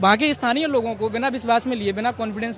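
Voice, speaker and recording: Over noticeable background noise, a man talks in an extremely high pitch. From Madhya Pradesh, Gwalior. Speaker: protester, civil services aspirant. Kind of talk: street interview.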